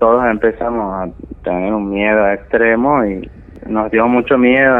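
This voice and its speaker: His delivery is a flat monotone. The man speaks at a medium pitch and a fairly slow pace. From Argentina, Santiago del Estero. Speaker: story-telling caller. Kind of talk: personal testimony.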